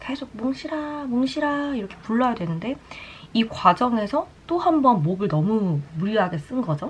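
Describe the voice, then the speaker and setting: Over noticeable background noise, a woman talks at a moderate pace. Her pitch swings very widely. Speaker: beauty vlogger and broadcaster. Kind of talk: casual chat while doing makeup. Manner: light, chatty storytelling.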